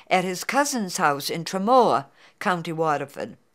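Speaking in a New England accent, a woman uses a medium pitch. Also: very clean recording, silent background. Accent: New England American. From Beverly, Massachusetts. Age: 80s+. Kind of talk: oral history interview answer.

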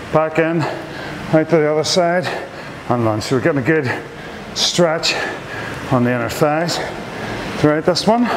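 A man speaks at a moderate pace. There is noticeable background noise. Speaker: fitness trainer. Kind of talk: workout instruction. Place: gym. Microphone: camera far.

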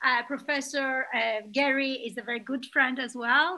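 Fairly even intonation from a woman. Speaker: webinar moderator. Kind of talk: introduction of speakers. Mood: warm, smiling. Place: home room. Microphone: webcam.

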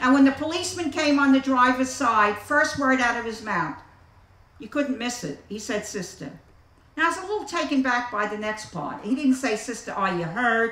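Against noticeable background noise, a woman with an American accent speaks at a high pitch with very wide pitch swings. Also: moderate pace. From the Bronx, New York City. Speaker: AA circuit speaker. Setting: outdoor picnic with live audience. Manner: animated, wry and warm storyteller with comic timing, pausing for laughs.

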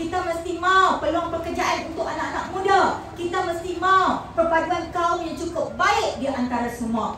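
Against light background noise and audible room echo, a woman with an extremely high voice speaks in a raised, projected, animated tone with ordinary pitch variation and hardly any pauses. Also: moderate pace. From Malaysia, Pahang; Malaysia. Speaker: politician; speaker. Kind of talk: political rally speech; rally speech. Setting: stage with audience. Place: hall.

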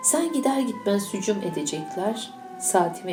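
A woman speaks with lively intonation while music plays in the background. Audible room echo surrounds her voice. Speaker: teacher. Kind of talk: reading aloud. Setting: school event.

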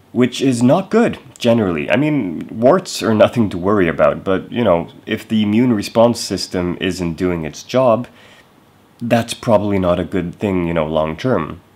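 Here is a man with a fairly low pitch. He talks at a moderate pace. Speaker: vlogger. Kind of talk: casual vlog chat. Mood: relaxed, slightly concerned. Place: home room. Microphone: phone near.

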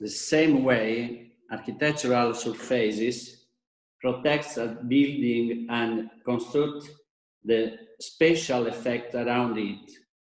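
Against a quiet background with audible room echo, a man talks very slowly at a medium pitch with fairly even intonation. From Italy. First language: Italian (speaking Indonesian). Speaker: architect and designer; presenter. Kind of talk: lecture. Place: home room. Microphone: video call.

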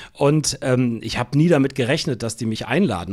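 This man has a plain, everyday voice at medium pitch. He moves at a fairly quick pace with ordinary pitch variation. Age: 60s. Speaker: radio editor-in-chief. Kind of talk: interview.

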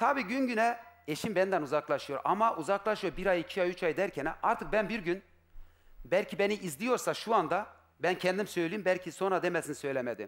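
A man speaks in an animated tone with lively intonation. His pitch is high. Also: moderate pace. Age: 40s. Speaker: husband seeking his wife on a TV show; talk show guest. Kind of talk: emotional testimony. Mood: upset, aggrieved. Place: studio. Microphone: headset.

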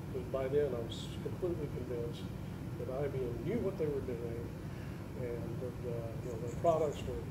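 Loud background noise behind a man's fairly quick speech. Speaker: IT contractor. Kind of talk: conference panel discussion. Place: hall. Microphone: camera far.

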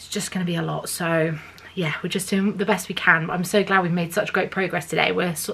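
A woman talks with fairly even intonation. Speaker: home renovation vlogger. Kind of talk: casual vlog chat.

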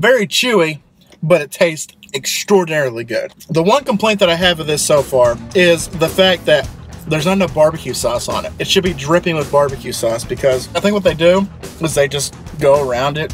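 At a fairly quick pace, a man talks with clear music in the background. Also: ordinary pitch variation, dry sound with no echo. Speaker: food reviewer. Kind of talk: casual vlog chat. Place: car. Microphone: phone near.

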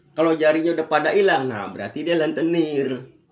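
A man talks at a fairly quick pace. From Indonesia. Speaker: amateur stand-up comedian and factory worker. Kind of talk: stand-up comedy set with punchlines, jokes about factory work. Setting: stage comedy competition. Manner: animated, fast, punchy slangy delivery with exaggerated mimicry. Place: home room. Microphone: phone near.

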